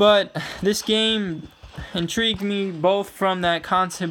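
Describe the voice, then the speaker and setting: Over noticeable background noise, a man speaks at a very slow pace with fairly even intonation. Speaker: gaming youtuber. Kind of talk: gameplay commentary. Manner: rambling, filler-heavy.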